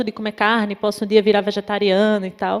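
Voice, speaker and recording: A woman speaks with a northeastern Brazilian accent. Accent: Natal (Northeast Brazilian). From Northeast Brazil, Natal. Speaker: psychologist and popular educator. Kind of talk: talk at an event. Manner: hesitant, many fillers.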